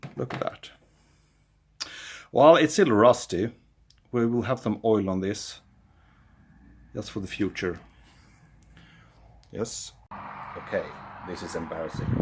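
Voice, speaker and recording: A man with a Swedish accent at medium pitch, fairly slow and with lively intonation, broken by long, frequent pauses. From Sweden. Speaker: amateur car mechanic, video creator. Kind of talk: DIY tutorial. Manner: casual, thinking aloud.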